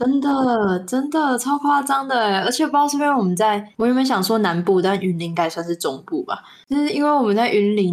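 Lively in intonation, a woman with a normal speaking voice talks at a fairly quick pace. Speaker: podcast co-host. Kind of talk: casual chat. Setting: remote online call.

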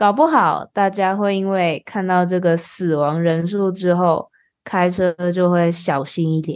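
Talking at a fairly slow pace, a woman uses an ordinary speaking voice. Her pitch is fairly low and her intonation fairly even. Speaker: podcast host and Mandarin teacher. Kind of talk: casual chat for language learners.

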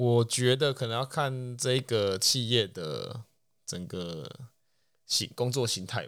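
On a very clean recording with a silent background, a man at medium pitch speaks very slowly, with ordinary pitch variation and big swings in loudness. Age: young. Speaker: podcast co-host. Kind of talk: casual chat.

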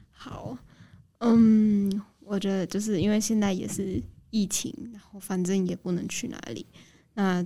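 A woman talks at a very slow pace and medium pitch, her tone dark and mellow. Her intonation is fairly even, though her loudness swings widely. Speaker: recent university graduate. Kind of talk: radio interview.

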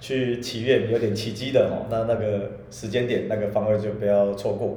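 Room echo can be heard as a man talks at a medium pitch. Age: middle-aged. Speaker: podcast co-host, qimen divination teacher. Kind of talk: casual chat. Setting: room with echo in a new home.

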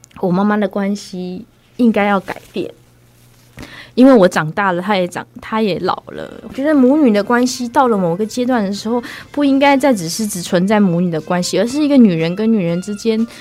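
Pitched fairly high, a woman talks at a moderate pace with ordinary pitch variation. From Myanmar, moved to Taiwan at 6. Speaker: actress and performing artist. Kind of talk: interview conversation. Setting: studio. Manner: clear, standard pronunciation.

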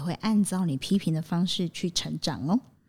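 The recording is very clean, with a silent background. The somewhat breathy voice moves at a fairly quick pace with lively intonation. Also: woman. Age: 40s. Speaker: psychological counselor and educator. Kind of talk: podcast interview. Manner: fast.

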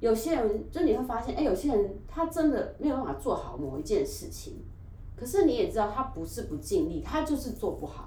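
A woman with a Taiwanese accent talks at a fairly quick pace in a high voice with very wide pitch swings. Noticeable background noise and audible room echo fill the recording. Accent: Taiwanese Mandarin. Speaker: podcast guest, YouTuber. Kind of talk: casual chat.

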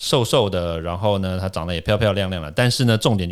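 A man with a Taiwanese accent and a fairly low pitch, ordinary pitch variation, in a very clean recording with a silent background. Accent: Taiwanese Mandarin. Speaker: toxicologist and podcast host. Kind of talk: casual interview chat. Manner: animated.

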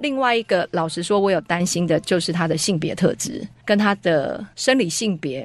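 With an unremarkable speaking voice, a woman talks at medium pitch and a moderate pace, her intonation lively. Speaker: homeschooling co-op parent. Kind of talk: radio interview.

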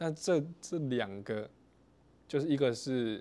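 A man's very slow delivery with ordinary pitch variation. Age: 20s. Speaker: podcast host. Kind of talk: interview.

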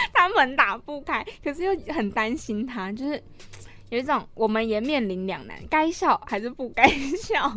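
In a Taiwanese accent, the voice has a bright, sharp tone, very wide pitch swings and big swings in loudness at a fairly slow pace. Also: woman. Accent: Taiwanese Mandarin. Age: 20s. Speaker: podcast co-host, university student. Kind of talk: casual chat.

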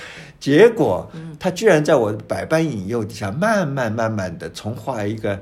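A man's somewhat breathy, medium-pitched voice moves at a fairly slow pace with lively intonation and big swings in loudness, and audible room echo surrounds it. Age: 70s. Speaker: painter and writer. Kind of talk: interview. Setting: his painting studio.

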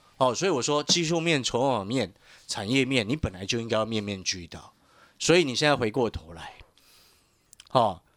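With a bright, sharp tone, a man at medium pitch talks at a moderate pace, his pitch swinging very widely. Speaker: stock market analyst. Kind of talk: radio market commentary with sales pitch.

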